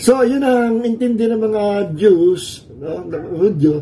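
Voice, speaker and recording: A man's lively intonation carries through audible room echo and noticeable background noise. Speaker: pastor. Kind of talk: sermon. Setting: livestream from a cold room. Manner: Taglish, conversational.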